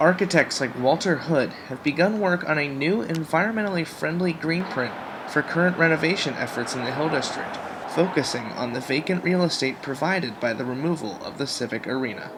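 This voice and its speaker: Over noticeable background noise, a man talks at a fairly quick pace, with fairly high pitch and ordinary pitch variation. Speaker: news reporter and anchor. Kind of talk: TV news field report.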